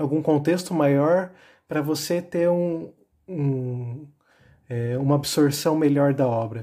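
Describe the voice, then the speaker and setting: In a very clean recording with a silent background, a man speaks in a fairly high pitch with a dark, mellow tone, a somewhat breathy quality, and ordinary pitch variation. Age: 20s. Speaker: architecture student, podcast guest. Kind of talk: casual chat.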